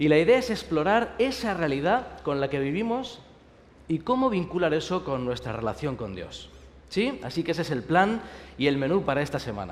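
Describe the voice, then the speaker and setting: With a Spanish accent, a man speaks at a fairly high pitch. His pitch swings very widely, and the room echo is audible. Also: moderate pace. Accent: Spanish (Spain). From Spain. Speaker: pastor. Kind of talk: sermon. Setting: university chapel service with audience.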